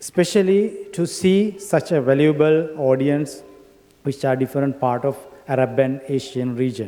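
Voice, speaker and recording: Speaking fairly slowly, a man has a Sri Lankan accent. His pitch is fairly high, with ordinary pitch variation. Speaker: academic and industry professional. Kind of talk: conference speech. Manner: halting.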